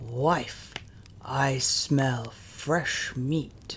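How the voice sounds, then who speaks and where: Putting on a growling, booming character voice at medium pitch, a man speaks over clear background noise. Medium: read story. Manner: brusque, commanding.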